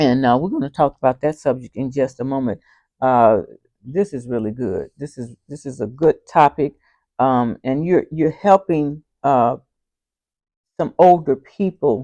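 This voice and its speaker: The speaker goes at a fairly slow pace with long, frequent pauses. The background is quiet. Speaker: interviewer, channel host. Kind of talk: casual interview talk.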